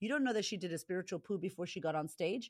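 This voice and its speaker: The recording is very clean with a silent background. A woman speaks in an animated tone with lively intonation. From US, Boston. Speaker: confidence coach. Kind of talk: interview conversation.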